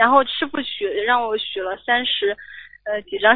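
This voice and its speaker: A woman with fairly high pitch speaks at a fairly slow pace. She has an unremarkable speaking voice with ordinary pitch variation. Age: 20s. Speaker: radio call-in listener. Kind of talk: call-in consultation.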